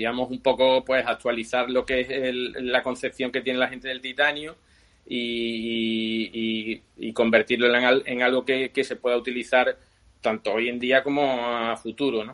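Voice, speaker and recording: In an Andalusian accent, a man of medium pitch speaks at a fairly slow pace with monotone, flat intonation. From Seville, Spain. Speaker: bicycle frame builder. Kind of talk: interview.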